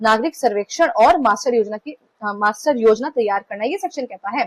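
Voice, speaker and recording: Against a quiet background, a woman talks with lively intonation in a dry, close sound with no echo. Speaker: law exam tutor. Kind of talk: lecture. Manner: fast.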